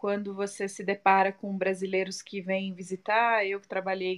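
A woman with a normal speaking voice talks at a moderate pace and medium pitch against a quiet background. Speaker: spiritist group president. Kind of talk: casual chat. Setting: live video stream.

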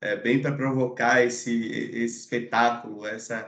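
A man talks at medium pitch and a moderate pace. His intonation is monotone and flat. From Salvador, Bahia, Brazil. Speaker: film podcast guest. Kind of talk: casual film discussion.

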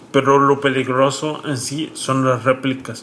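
A man's fairly slow speech is accompanied by clearly audible background noise. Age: 30s. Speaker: content creator and stroke survivor. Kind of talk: casual interview.

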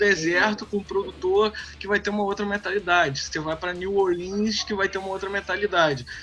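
Against noticeable background noise, a man with a high pitch uses a raised, projected voice at a moderate pace. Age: 30s. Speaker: guitarist and music producer. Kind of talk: casual chat.

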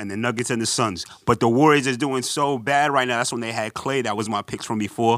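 Fairly quickly and with fairly even intonation, a man with a New York accent speaks at a medium pitch, the sound dry and close with no echo on a very clean recording with a silent background. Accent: New York (Bronx). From New York, the Bronx. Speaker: basketball podcast co-host. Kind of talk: casual chat.

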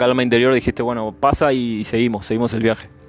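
Speaking very fast, a man delivers his words at a medium pitch with fairly even intonation. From Argentina. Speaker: podcast host. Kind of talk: interview. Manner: halting, many fillers.

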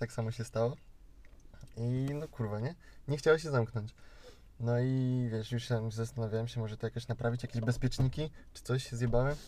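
A man speaks at a medium pitch and a fairly quick pace, with long, frequent pauses. His intonation is fairly even, and his tone is dark and mellow. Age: 20s. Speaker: podcast host. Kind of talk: casual chat. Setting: in a car.

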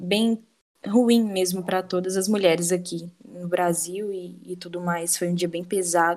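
At a fairly slow pace, a woman talks in a fairly low pitch with monotone, flat intonation. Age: 20s. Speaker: law student and feminist activist, guest host. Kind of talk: casual discussion.

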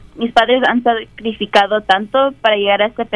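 A woman's fairly high voice in a monotone, flat intonation at a moderate pace. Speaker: university student. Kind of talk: personal testimony. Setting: classroom.

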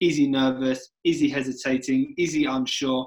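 A man speaks at a fairly slow pace. He has an ordinary speaking voice. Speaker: podcast host. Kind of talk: casual podcast chat.

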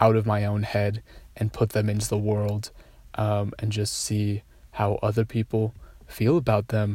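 On a very clean recording with a silent background, a man with a fairly low pitch speaks at a moderate pace in a somewhat breathy voice. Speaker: solo podcaster. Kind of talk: personal monologue. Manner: hesitant, many fillers.

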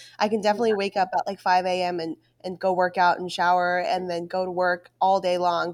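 A woman with a plain, everyday voice and medium pitch is heard in a dry, close sound with no echo, on a very clean recording with a silent background. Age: 20s. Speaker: wedding business owner and podcast co-host. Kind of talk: casual chat.

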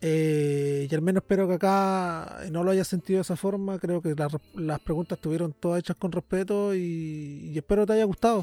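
A man with a Chilean accent and a high pitch speaks in a dark, mellow tone at a moderate pace, with fairly even intonation, hardly any pauses, and a dry, close sound with no echo. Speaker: podcast host. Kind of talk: casual interview.

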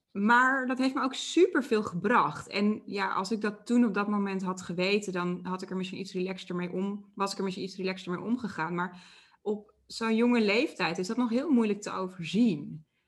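Somewhat breathy and medium-pitched, a woman keeps a moderate pace with hardly any pauses. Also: ordinary pitch variation. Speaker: interviewer and coach. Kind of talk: interview. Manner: stammering.

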